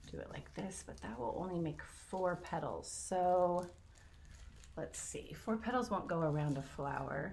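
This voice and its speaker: The voice carries vocal fry and lively intonation. Room echo can be heard. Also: woman. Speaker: art teacher. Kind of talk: tutorial.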